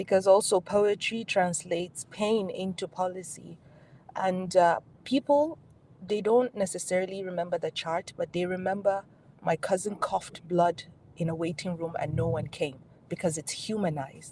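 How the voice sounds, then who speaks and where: Speaking at a medium pitch, a woman has a dark, mellow, somewhat breathy tone with ordinary pitch variation. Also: moderate pace. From Nigeria. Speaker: performance poet and advocate. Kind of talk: keynote speech on poetry and health advocacy.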